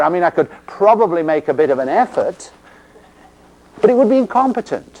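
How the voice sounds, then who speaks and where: A man talks at a fairly quick pace with an English accent. His pitch swings very widely. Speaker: physical therapy instructor. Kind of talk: lecture.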